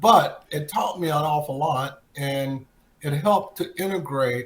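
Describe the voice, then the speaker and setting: A man speaks fairly slowly in a fairly high, somewhat breathy voice. His pitch variation is ordinary. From Texas, Plano. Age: 60s. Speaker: retired football player. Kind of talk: interview.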